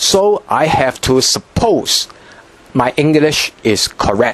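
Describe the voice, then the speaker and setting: Through noticeable background noise, a man with a fairly high pitch speaks at a very slow pace with very wide pitch swings. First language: Cantonese. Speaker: language teacher. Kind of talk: tutorial. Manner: halting, frequent repetitions and fillers.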